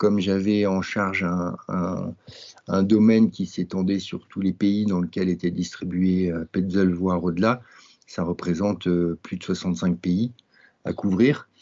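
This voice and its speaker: The speaker moves at a very slow pace with fairly even intonation. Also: man, very deep, low pitch for a man. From French Alps, Grenoble. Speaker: mountain guide and adventurer. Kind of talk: interview. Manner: halting.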